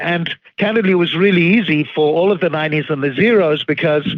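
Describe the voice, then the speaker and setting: Here a man with a slight Zimbabwean accent speaks with ordinary pitch variation. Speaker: financial firm founder and CEO. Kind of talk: podcast interview.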